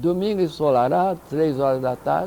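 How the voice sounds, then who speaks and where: Very slow, lively speech from a man, his pitch fairly high. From Minas Gerais, Brazil. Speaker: UFO researcher. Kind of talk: interview answer.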